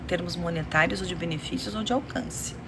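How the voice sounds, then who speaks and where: A woman whispers softly at a moderate pace. Noticeable background noise and audible room echo surround her voice. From Romania. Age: 50s. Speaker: beauty youtuber. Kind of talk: casual livestream chat while doing makeup. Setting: live stream. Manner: soft-spoken, near whisper.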